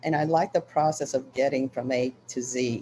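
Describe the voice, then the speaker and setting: A woman with an American accent, her pitch very deep and low, her tone dark and mellow. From Italy. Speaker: book artist and printmaker. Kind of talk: interview.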